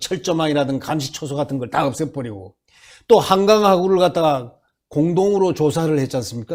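This man has a fairly high pitch and an animated tone, with ordinary pitch variation at a fairly quick pace. The recording is very clean, the background silent. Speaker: political commentator. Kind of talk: political commentary interview. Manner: halting.

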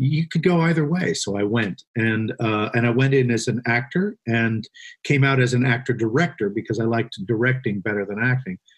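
Somewhat breathy and medium in pitch, a man speaks with an American accent at a moderate pace, using ordinary pitch variation. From Vermont, then California from early teens. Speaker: screenwriter. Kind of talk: casual interview.

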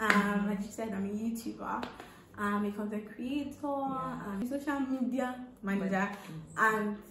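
A woman with a fairly high pitch talks at a moderate pace. Noticeable background noise sits behind her. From Nigeria. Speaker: content creator, social media manager, youth corps member. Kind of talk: interview answer. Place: home room. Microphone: camera far.

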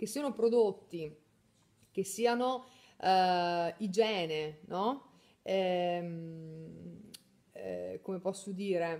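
At a very slow pace with long, frequent pauses, a woman speaks in a medium pitch with ordinary pitch variation. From northern Italy, Mantua; northern Italy. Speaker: beauty salon owner and trainer; trainer. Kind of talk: live stream chat. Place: home room. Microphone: phone near.

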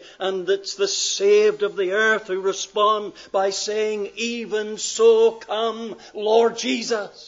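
A man speaks very slowly in a Northern Irish accent, his pitch high. His intonation stays flat and monotone. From Northern Ireland. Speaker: pastor. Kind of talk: sermon. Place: church. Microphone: podium.

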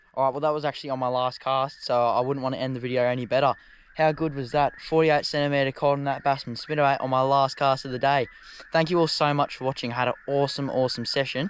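Monotone, flat intonation from a man at a very fast pace, with a dry sound with no echo and light background noise. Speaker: fishing vlogger. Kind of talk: casual vlog chat. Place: waterside. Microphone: phone near.

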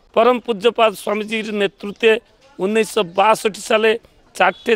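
Monotone, flat delivery from a man with a high pitch, in a dry sound with no echo. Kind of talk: interview answer. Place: garden. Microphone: handheld.

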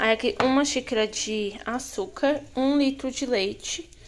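A woman talks at a fairly slow pace, a plain, everyday voice with ordinary pitch variation. Light background noise is present. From Brazil. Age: 20s. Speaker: cooking vlogger. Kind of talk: cooking tutorial. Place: kitchen. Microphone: phone near.

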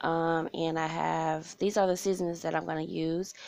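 In an unremarkable speaking voice, a woman talks at a moderate pace with a fairly low pitch, the sound dry with no echo. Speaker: home cook vlogger. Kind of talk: casual cooking tutorial. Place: kitchen.

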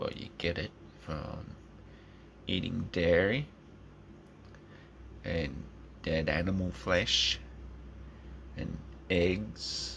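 The voice has vocal fry. Light background noise is present. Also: man. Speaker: vlogger. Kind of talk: casual vlog rant. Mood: opinionated, informal, swearing. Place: home room. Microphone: phone near.

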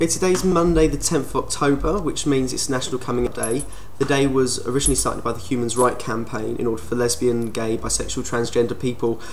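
Talking very fast with an American-free British accent is not it; rather, a man with a British accent speaks very fast at medium pitch, with ordinary pitch variation over noticeable background noise. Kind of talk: casual talk to camera.

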